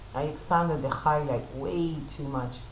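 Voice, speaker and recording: A woman talks at a fairly slow pace. Her voice carries an audible room echo. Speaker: photo retoucher and teacher; teacher. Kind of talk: live tutorial stream.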